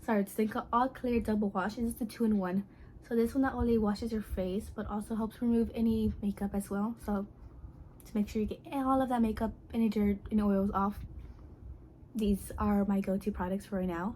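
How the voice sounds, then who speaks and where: A soft-spoken woman with a dark, mellow tone talks fairly quickly at a medium pitch, somewhat breathy, with fairly even intonation. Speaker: beauty vlogger. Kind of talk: product review vlog. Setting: at home at night. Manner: quiet, speaking softly at night; casual, filler-heavy.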